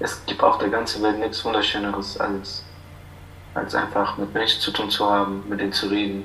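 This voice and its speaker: Amid noticeable background noise and audible room echo, a man with a fairly low pitch speaks at a fairly slow pace. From Iraq. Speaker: refugee. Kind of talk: interview.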